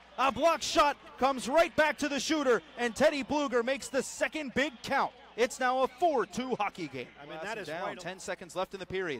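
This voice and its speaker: Shouting at an extremely high pitch, a man speaks at a fairly quick pace with lively intonation and big swings in loudness, in a dry sound with no echo and light background noise. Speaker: hockey play-by-play announcer. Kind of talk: live commentary. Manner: animated, excitable; fast-paced play-by-play, rising to a shout on goals.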